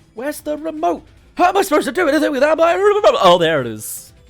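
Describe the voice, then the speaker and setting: Over music in the background, a man puts on a whiny character voice at an extremely high pitch. He talks at a very fast pace. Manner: whiny, blubbering, then relieved.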